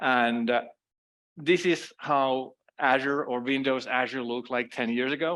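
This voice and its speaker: A man with a Finnish accent is heard on a very clean recording with a silent background. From Finland. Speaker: cloud security consultant. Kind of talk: conference talk.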